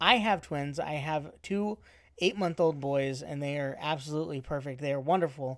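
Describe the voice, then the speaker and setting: A man with an American accent and an unremarkable speaking voice, fairly high-pitched, with ordinary pitch variation at a moderate pace, on a very clean recording with a silent background. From Arizona. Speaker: podcast host, father of twins. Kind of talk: casual chat.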